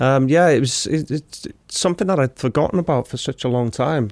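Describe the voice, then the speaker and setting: A man with a North Welsh accent talks at a fairly quick pace. The sound is dry and close, with no echo. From Wrexham, North Wales. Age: 20s. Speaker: army veteran. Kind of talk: casual chat.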